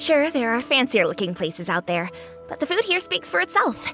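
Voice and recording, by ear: A woman performs a cartoonish character voice at a moderate pace, high-pitched with big pitch swings and a bright, sharp tone. Faint music plays in the background.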